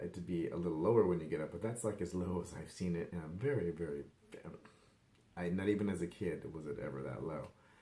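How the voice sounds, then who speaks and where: A man's very deep, low voice with a dark, mellow tone, ordinary pitch variation and a fairly quick pace. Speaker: wellness vlogger and life coach. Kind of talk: casual vlog update. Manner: rambling, filler-heavy.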